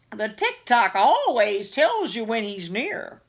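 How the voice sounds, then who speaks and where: A woman puts on a character voice with a fairly high pitch. She delivers it at a fairly slow pace. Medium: read story.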